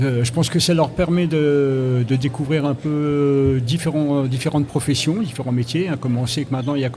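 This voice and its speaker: Noticeable background noise sits under a man talking at a medium pitch. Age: 60s. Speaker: job seeker. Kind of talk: radio interview. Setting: live radio set at a job fair. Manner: hesitant, halting.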